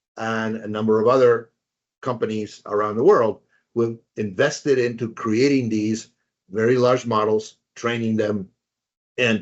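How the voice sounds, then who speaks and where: At a moderate pace, a man with a Spanish accent speaks at medium pitch. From Spanish-speaking country. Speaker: professor. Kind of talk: lecture. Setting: webinar. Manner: hesitant with fillers and repetitions.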